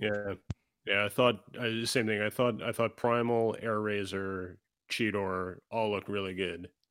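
A man talks in a normal speaking voice at a fairly slow pace. His pitch is fairly low and his intonation fairly even. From Canada. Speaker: YouTube toy reviewer. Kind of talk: casual chat. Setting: video call.

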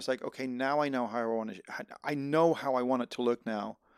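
This man has a plain, everyday voice at medium pitch, with fairly even intonation. He talks at a fairly quick pace on a very clean recording with a silent background. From Netherlands (American raised in Holland). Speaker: filmmaker and sound mixer. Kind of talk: casual chat. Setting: home garage.

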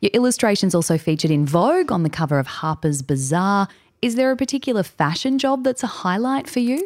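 Speaking at a very fast pace, a woman with medium pitch keeps her loudness very even while her pitch swings very widely. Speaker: interviewer. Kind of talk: interview.

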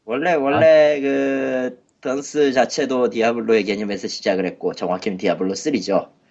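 Speaking at medium pitch and a moderate pace, a man with an unremarkable speaking voice uses lively intonation and hardly any pauses. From South Korea, Gwangju. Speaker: podcast co-host. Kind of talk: casual chat.

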